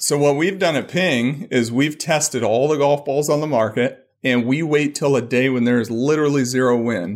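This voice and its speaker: A man with a plain, everyday voice, fairly high in pitch, ordinary pitch variation, very even loudness, a moderate pace and hardly any pauses, on a very clean recording with a silent background. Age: 40s. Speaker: golf equipment engineer. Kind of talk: casual interview.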